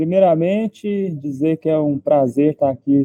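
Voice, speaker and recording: Here a man speaks at a fairly high pitch. His pace is very slow, with ordinary pitch variation. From Brazil, Minas Gerais. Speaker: part-time trader. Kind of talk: live stream casual chat. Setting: live video stream. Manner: halting.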